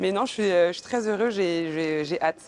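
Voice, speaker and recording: Talking fairly quickly, a woman shows ordinary pitch variation. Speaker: outgoing beauty queen. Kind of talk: interview at airport. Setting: airport arrival. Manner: hesitant, many fillers.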